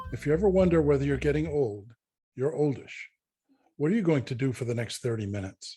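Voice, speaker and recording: Talking at a very fast pace, a man uses a fairly high, somewhat breathy voice with a dark, mellow tone and lively intonation. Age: 70s. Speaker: podcast co-host. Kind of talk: casual chat.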